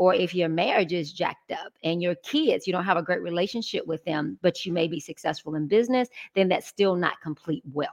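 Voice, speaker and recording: This woman talks fairly quickly with hardly any pauses, using a fairly low pitch and ordinary pitch variation in an Atlanta accent, recorded with a dry, close sound and no echo. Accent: Southern US (Atlanta). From Atlanta, Georgia. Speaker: business strategist. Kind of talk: interview.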